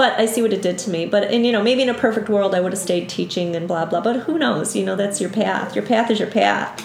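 Someone with a Buffalo accent talks at a very fast pace with hardly any pauses and ordinary pitch variation, amid audible room echo and noticeable background noise. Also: woman, medium pitch for a woman. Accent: Western New York (Buffalo) American. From western New York, south of Buffalo. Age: 50s. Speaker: yoga instructor. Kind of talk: casual interview chat.

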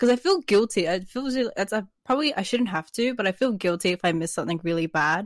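A medium-pitched woman's voice in an Australian accent, very fast with lively intonation and hardly any pauses, dry and close with no echo, on a very clean recording with a silent background. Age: 20s. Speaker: artist and stream moderator. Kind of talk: casual interview. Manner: laughs often.

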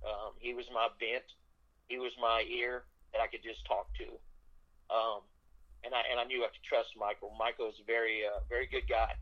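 A man with an American accent, big swings in loudness, long, frequent pauses and a moderate pace. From US South, South Louisiana. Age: 50s. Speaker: country songwriter. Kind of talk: interview. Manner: halting.

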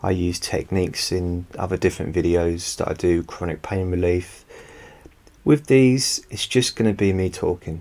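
A man's very deep, low voice with a dark, mellow tone and a calm tone, ordinary pitch variation, and a moderate pace. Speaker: hypnotherapist. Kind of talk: hypnosis session. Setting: home recording.

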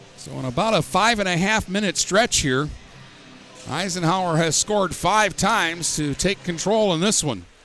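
Music plays in the background as a man speaks with an American accent. His pitch is high, with ordinary pitch variation. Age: 50s. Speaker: hockey play-by-play announcer. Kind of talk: live play-by-play hockey commentary, rapid puck-tracking call. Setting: ice arena broadcast booth. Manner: brisk running narration of each pass and player name; chatty, opinionated asides with laughter between plays.

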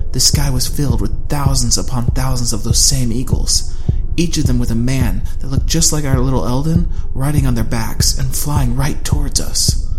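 The speech holds a moderate pace at very even loudness. Noticeable background noise sits behind it. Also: man. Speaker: audiobook narrator. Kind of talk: dramatic audiobook narration of a fantasy story. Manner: tense, hushed and urgent, building suspense as the eagles appear.

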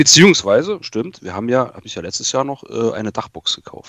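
Very fast speech from a man comes through dry and close, without any echo. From Saxony-Anhalt, eastern Germany (Eisleben). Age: 30s. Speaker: car enthusiast, automotive industry employee. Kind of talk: casual chat.

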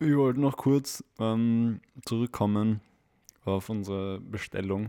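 A man with a Viennese accent. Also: dry, close sound with no echo. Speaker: podcast co-host. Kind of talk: casual chat.

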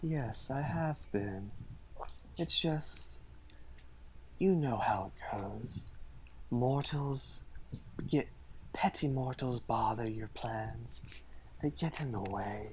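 Using a put-on character voice at medium pitch, a man talks at a very slow pace with long, frequent pauses over clear background noise. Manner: menacing, weary.

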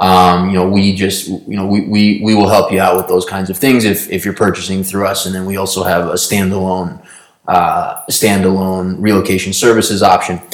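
Flat and monotone, a man speaks at a very deep, low pitch. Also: moderate pace, hardly any pauses. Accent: American. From New York. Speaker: podcast co-host, business co-founder. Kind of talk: casual chat. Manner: hesitant, many fillers.

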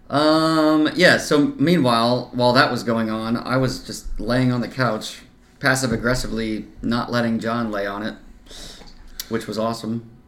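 Audible room echo surrounds a man with an American accent. He speaks at a medium pitch and a moderate pace with fairly even intonation. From US Midwest (Kansas-born, grew up near Iowa). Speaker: podcast co-host. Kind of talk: casual chat.

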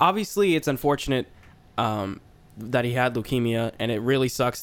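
In an unremarkable speaking voice, a man talks fairly quickly at a medium pitch. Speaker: wrestling podcast co-host. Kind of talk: casual banter about wrestling. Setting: studio with several hosts.

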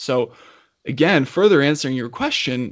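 Here a man speaks in an unremarkable speaking voice at a medium pitch and moderate pace. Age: 30s. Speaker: podcast host and coach. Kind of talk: interview conversation.

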